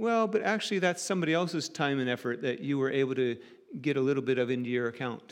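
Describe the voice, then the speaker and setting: Against a quiet background, a man with an American accent talks at a very fast pace in a fairly high voice. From United States, rural farm background. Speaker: preacher. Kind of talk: sermon.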